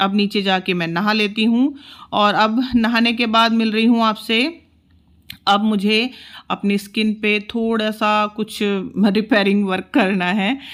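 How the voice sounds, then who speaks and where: Here a woman has an unremarkable speaking voice at a fairly high pitch. Her intonation is fairly even, and the recording is very clean with a silent background. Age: 40s. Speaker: homemaker vlogger. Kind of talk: vlog narration. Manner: casual, conversational.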